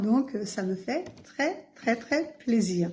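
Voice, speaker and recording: A woman speaks at a very slow pace with a fairly high pitch. Her tone is dark and mellow and somewhat breathy. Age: 60s. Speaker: vlogger, pilgrim. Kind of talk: casual vlog. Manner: hesitant, many fillers.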